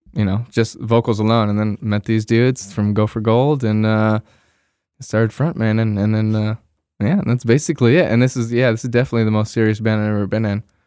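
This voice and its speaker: A very fast American-accented man with a dark, mellow tone and fairly even intonation, on a very clean recording with a silent background. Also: medium pitch for a man. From Bay Area, California. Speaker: singer and founder of a scene group, co-host. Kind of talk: casual chat.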